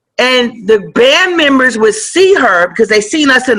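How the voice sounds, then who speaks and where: Raising and projecting her voice, a woman speaks at a fairly slow pace in a high pitch, with lively intonation and an animated tone. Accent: American. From San Francisco Bay Area, California. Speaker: rapper. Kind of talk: casual interview. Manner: loud.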